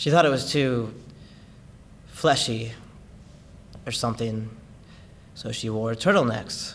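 A man talks fairly slowly, with ordinary pitch variation, against light background noise. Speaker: actor performing monologue. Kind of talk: dramatic monologue. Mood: sorrowful, emotionally raw. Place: studio.

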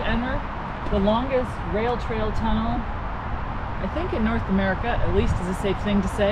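Loud background noise sits behind speech delivered at a fairly slow pace. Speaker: travel vlogger cyclist. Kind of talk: casual vlog chat. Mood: playful mock fear. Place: forest.

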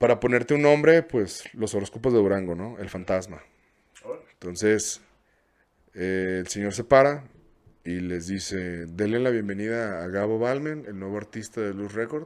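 A man with a Mexican accent talks at a moderate pace in a fairly low pitch, with ordinary pitch variation and big swings in loudness. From Mexico. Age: 30s. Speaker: content creator and music video producer; content creator. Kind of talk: casual interview chat. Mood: casual, storytelling. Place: studio. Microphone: studio mic.

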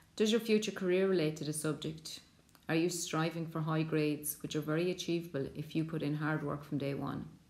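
With very deep, low pitch, a woman speaks fairly quickly and with fairly even intonation. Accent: Irish. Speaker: secondary school teacher. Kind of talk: school subject presentation.

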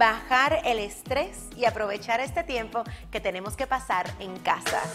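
Upbeat tone from a woman at a fairly slow pace, with clear music in the background. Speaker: radio host, speaker and business coach. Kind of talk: advice tips to camera. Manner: upbeat, friendly, conversational. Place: studio. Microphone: lapel.

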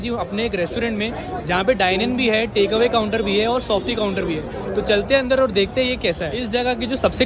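Over crowd noise in the background, a man with a high voice talks at a moderate pace, the sound dry with no echo. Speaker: food vlogger. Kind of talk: casual vlog chat. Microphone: phone near.

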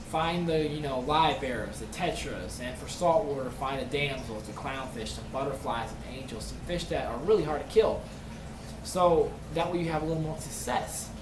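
A man speaks at a moderate pace with big swings in loudness over noticeable background noise. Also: ordinary pitch variation. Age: 20s. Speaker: aquarium hobbyist YouTuber. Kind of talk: tutorial. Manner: casual, rambling. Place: home room. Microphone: webcam.

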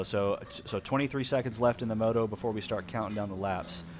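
Animated in tone, a man speaks at a medium pitch with ordinary pitch variation. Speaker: race commentator. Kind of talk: live sports commentary on a gaming race stream. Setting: stream commentary booth. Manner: animated, fast play-by-play, calling out riders and positions.

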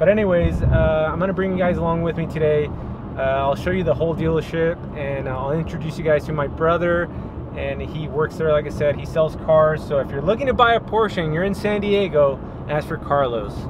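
A man speaks over noticeable background noise, the sound dry with no echo. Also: ordinary pitch variation, fairly quick pace. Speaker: real estate agent vlogger. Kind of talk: casual vlog chat. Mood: upbeat, relaxed. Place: car. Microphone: phone near.

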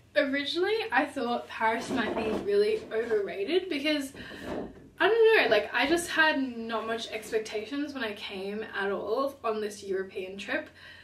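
There is audible room echo and light background noise as a woman talks at a moderate pace. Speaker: travel vlogger. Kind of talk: casual vlog chat. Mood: upbeat, enthusiastic. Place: home room.

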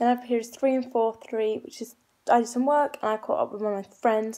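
With little behind her but quiet, a woman talks in a high voice. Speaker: vlogger. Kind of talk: casual vlog chat. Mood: frustrated about uploads. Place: home room. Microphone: phone near.

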